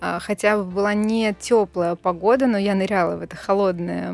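A woman with a normal speaking voice talks at a moderate pace and medium pitch with ordinary pitch variation, in a very clean recording with a silent background. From Russia, Bryansk. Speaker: TV presenter. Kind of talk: casual chat.

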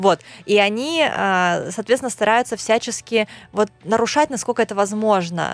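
A woman with a plain, everyday voice speaks at a fairly slow pace, fairly high in pitch with ordinary pitch variation and very even loudness. The recording is very clean, with a silent background and a dry, close sound with no echo. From Russian Far East, Khabarovsk. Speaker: blogger. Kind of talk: casual interview.

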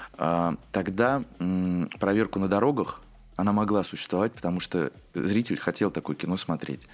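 This man has a normal speaking voice, with ordinary pitch variation at a moderate pace, on a very clean recording with a silent background. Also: fairly low pitch for a man. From Obninsk, Russia. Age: 20s. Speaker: theater director. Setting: studio.

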